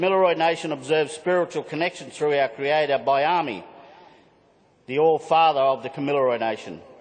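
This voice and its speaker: There is noticeable background noise as a man speaks. His pitch is fairly high and his pace fairly quick. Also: ordinary pitch variation. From Australia, southwest Queensland. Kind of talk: conference speech. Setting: conference hall with audience and screen. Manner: halting, with restarts.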